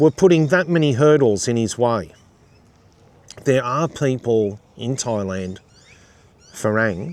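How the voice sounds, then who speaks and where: Using an Australian accent, a man speaks at a fairly slow pace with medium pitch and ordinary pitch variation. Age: 50s. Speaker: YouTuber. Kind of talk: casual commentary monologue.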